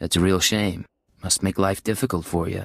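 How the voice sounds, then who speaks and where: In a put-on character voice, a man speaks very deep and low at a moderate pace with fairly even intonation, the sound dry and close with no echo on a very clean recording with a silent background. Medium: video game. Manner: cocky, sarcastic.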